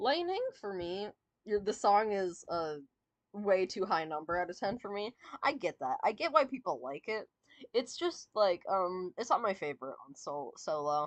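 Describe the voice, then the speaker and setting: A woman at medium pitch and moderate pace, with very wide pitch swings. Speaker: streamer. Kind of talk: casual chat. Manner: halting.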